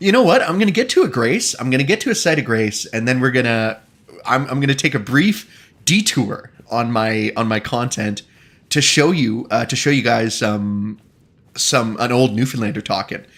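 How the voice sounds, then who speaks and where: A man's animated, medium-pitched voice at a moderate pace, with ordinary pitch variation and a slight Eastern Canadian accent. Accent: slight Eastern Canadian lilt. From Canada. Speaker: video game streamer. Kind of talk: casual chat. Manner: animated, casual.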